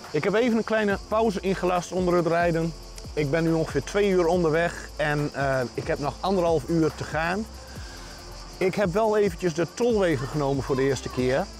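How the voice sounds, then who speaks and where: Over clear music in the background, a man speaks at a moderate pace in a high voice with ordinary pitch variation and a dry sound with no echo. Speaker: travel vlogger. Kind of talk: casual vlog chat. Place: open country. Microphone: lapel.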